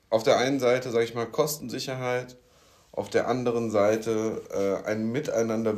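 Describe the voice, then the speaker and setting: A man's medium-pitched voice, moderate in pace, with fairly even intonation. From Rhein-Main region, Germany. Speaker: podcast co-host, smart building sales/solution architect. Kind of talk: casual chat. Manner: hesitant, many fillers.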